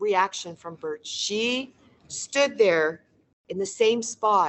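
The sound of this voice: With lively intonation, an unforced reading voice comes through against a quiet background.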